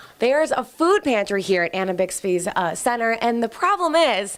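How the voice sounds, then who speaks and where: A woman with a fairly high voice makes very wide pitch swings. Noticeable background noise runs behind her. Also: moderate pace. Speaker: TV news reporter. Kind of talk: TV news live shot.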